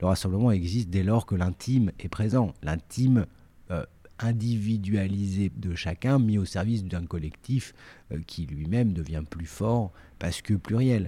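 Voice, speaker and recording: Fairly low in pitch, a man speaks at a fairly slow pace in a dark, mellow tone with ordinary pitch variation, and the recording is very clean, with a silent background. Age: 40s. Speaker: artistic director and editor of a cooking company. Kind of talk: interview. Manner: halting, many repetitions and fillers.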